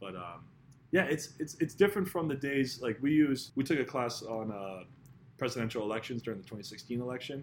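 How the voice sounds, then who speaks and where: Talking at a fairly quick pace, a man with an American accent uses a plain, everyday voice at medium pitch with lively intonation and big swings in loudness. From Massachusetts South Shore (Scituate). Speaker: university student and local government worker. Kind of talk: casual interview.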